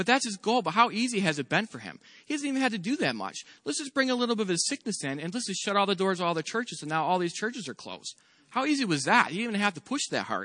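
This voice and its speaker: Very fast and raised, a man's voice projects at a high pitch with very wide pitch swings. The tone is bright and sharp. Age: 40s. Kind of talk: sermon. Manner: casual, with filler words.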